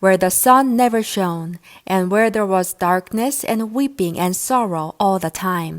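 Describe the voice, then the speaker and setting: A woman with a normal speaking voice talks at a fairly slow pace and a medium pitch, her intonation lively, on a very clean recording with a silent background. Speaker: English teacher. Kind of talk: audiobook reading of myths.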